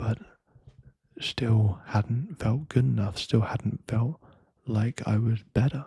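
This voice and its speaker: A soft-spoken man talks at a fairly slow pace and medium pitch with ordinary pitch variation. His somewhat breathy voice has a dark, mellow tone in a dry, close sound with no echo. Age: young. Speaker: ASMR creator. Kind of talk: ASMR talk to listener. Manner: soft-spoken, slow.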